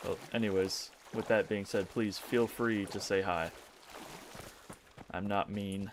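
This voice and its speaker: A man with a fairly low pitch, monotone and flat, at a fairly slow pace with long, frequent pauses, over noticeable background noise. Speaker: gaming streamer. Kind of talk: live gameplay stream chat. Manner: casual, halting.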